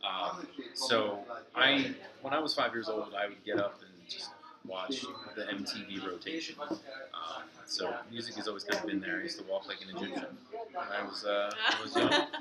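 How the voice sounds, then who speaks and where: With an American accent, a man speaks at a moderate pace against noticeable background noise. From Philadelphia suburbs, US. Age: 30s. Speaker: professional musician. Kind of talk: oral history interview. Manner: halting, many fillers.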